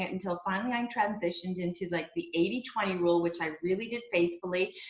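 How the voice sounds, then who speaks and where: A woman's somewhat breathy, medium-pitched voice with a Canadian accent, a fairly quick pace and ordinary pitch variation. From Quebec, Canada (Montreal). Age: 60s. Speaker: network marketing area manager. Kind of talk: testimony. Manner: casual, conversational with fillers.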